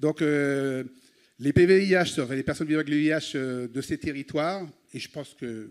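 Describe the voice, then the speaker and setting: The man's pitch is fairly high. He speaks at a moderate pace. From Guadeloupe. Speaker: person living with HIV, participant. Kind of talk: public statement.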